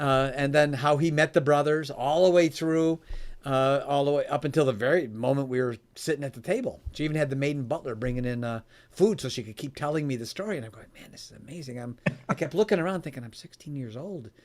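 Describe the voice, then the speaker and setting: In a normal speaking voice with an American accent, a man talks at a fairly quick pace and a fairly high pitch, with ordinary pitch variation and big swings in loudness, in a very clean recording with a silent background. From US Midwest, Chicago area. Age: 60s. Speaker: author and founder on giving. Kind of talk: podcast interview storytelling.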